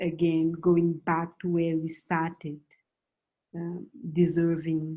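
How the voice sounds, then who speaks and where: A woman's very deep, low voice in a Malian accent at a very slow pace. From West Africa, Senegal and Mali. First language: Bambara. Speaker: writer and movement coordinator. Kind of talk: panel discussion. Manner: halting, many fillers.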